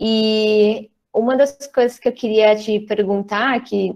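Against a quiet background, a woman speaks with a fairly high pitch and a dark, mellow tone. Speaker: drama school director, co-host. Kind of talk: casual online chat, moderating questions. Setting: video call. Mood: warm, relaxed. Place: home room. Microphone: earbuds.

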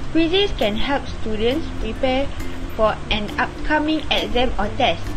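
Over clear music in the background, a woman with a high pitch talks at a fairly slow pace. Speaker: presenter. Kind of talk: class presentation.

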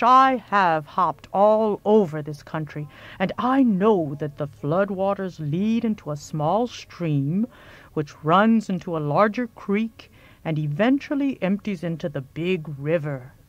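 Against a quiet background, a female-sounding voice puts on a rumbling character voice at a middle pitch and a fairly slow pace. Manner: laid-back, folksy.

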